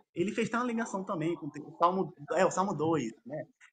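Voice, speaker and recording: This man speaks at a fairly quick pace. His intonation is lively. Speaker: theological debater. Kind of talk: formal debate. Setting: live stream debate. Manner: fast; filler-heavy, halting.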